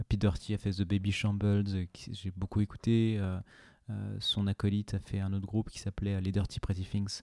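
In a very clean, dry, close recording with a silent background and no echo, a man with a dark, mellow tone speaks at a fairly low pitch and moderate pace in a monotone, flat intonation. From France, Ain (Oyonnax). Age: 30s. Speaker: podcaster and fashion brand co-founder. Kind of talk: casual interview. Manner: halting, many repetitions.

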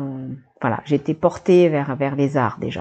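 Very slow speech from a woman whose pitch varies in a typical way. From New Caledonia, Nouméa area. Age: 50s. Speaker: artist and former teacher. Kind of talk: interview.

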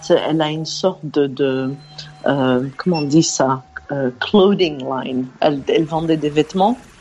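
Against noticeable background noise, a woman with a very deep, low pitch and ordinary pitch variation speaks at a fairly slow pace. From Belgium. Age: 50s. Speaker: caller. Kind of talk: casual chat.

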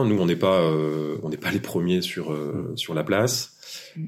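A man talks with noticeable background noise present. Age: 40s. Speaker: tech startup founder. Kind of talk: interview.

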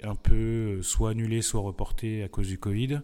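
Against a very clean recording with a silent background, a man speaks in a dark, mellow tone. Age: 30s. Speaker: professional sailor. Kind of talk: interview. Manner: hesitant, many fillers.

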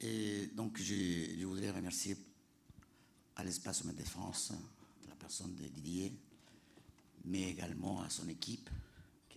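There is audible room echo around a man whose very deep, low voice keeps a fairly even intonation. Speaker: leader of an international youth climate education project. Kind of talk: panel talk. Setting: planetarium with audience.

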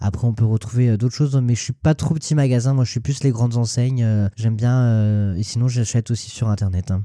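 Here a man speaks at a fairly quick pace. His dark, mellow tone holds very even loudness. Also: medium pitch for a man. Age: 20s. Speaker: Instagram influencer. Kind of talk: casual interview.

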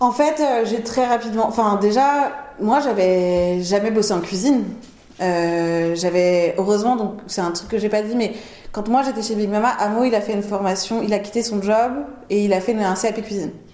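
At a moderate pace and with ordinary pitch variation, the speech carries audible room echo and noticeable background noise. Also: woman, fairly high pitch for a woman. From Paris, France. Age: 30s. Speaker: chef. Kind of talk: casual chat. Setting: at home. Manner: talkative.

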